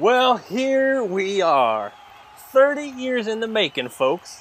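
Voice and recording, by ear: Slowly, a man performs a put-on character voice with a high pitch, a fairly bright tone and big pitch swings.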